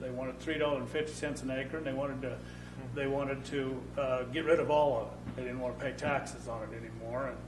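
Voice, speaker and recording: A man with an American accent speaks at a very fast pace. The room echo is audible, and there is noticeable background noise. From Idaho, Boise and Cabarton area. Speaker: panelist on local history. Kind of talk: oral history interview before an audience. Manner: halting, with repeated words.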